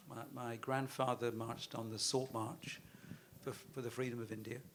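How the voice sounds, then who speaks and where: A man talks with a British accent. His intonation is monotone and flat. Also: medium pitch for a man, moderate pace. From London, England. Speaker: investment firm chairman, panelist. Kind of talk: panel discussion.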